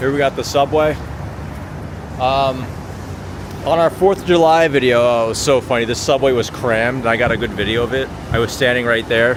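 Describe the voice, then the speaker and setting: The speech moves at a fairly quick pace with ordinary pitch variation, broken by long, frequent pauses. Noticeable background noise runs underneath. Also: man, medium pitch for a man. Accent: slight Long Island. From Long Island, New York. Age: 30s. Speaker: livestreamer. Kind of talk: live street-walk commentary. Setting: outdoors on city streets at night. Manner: casual, chatty.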